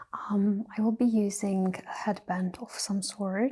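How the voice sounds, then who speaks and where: A soft-spoken woman's medium-pitched, somewhat breathy voice, dark and mellow in tone, monotone and flat in intonation, at a very slow pace. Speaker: makeup ASMR creator. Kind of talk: ASMR makeup tutorial. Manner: soft-spoken, slow.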